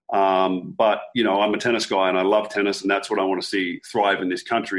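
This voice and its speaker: Fairly quick, fairly low-pitched speech from a man with an Australian accent against a quiet background. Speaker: tennis coach. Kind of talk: radio interview.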